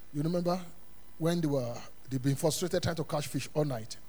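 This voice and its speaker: Audible room echo surrounds a man whose fairly high pitch shows ordinary pitch variation and an animated tone. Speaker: pastor. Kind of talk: Sunday sermon, call-and-response Bible teaching to a congregation. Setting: church service with congregation. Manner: animated, rhetorical questions left for the congregation to fill in; emphatic repetition of punchlines, chuckling between phrases.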